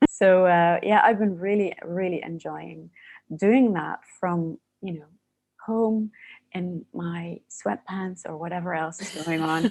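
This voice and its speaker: Speaking at a very slow pace with a Dutch accent, a woman with a fairly low pitch shows ordinary pitch variation and big swings in loudness. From Netherlands. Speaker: coaching academy founder. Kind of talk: podcast interview. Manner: soothing.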